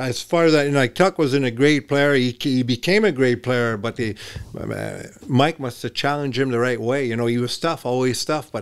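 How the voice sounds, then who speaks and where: In a French Canadian accent, the speaker talks at a fairly quick pace with ordinary pitch variation. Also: man, medium pitch for a man. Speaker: former hockey player and coach. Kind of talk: casual chat. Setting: studio.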